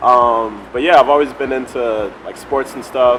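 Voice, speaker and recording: A man with an American accent over noticeable background noise. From Chicago, US Midwest. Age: 30s. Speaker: fitness travel creator. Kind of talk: interview. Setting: in Thailand.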